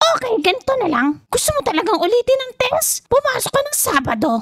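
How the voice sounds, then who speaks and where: A woman performs a put-on character voice at an extremely high pitch, with very wide pitch swings and a fairly quick pace. The sound is dry and close, with no echo. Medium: machinima. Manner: blunt, brisk.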